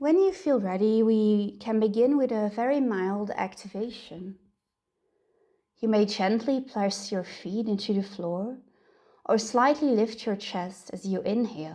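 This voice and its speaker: At a fairly slow pace, a woman with a plain, everyday voice speaks at fairly high pitch. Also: ordinary pitch variation. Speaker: meditation guide. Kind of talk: guided meditation. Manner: soft, slow.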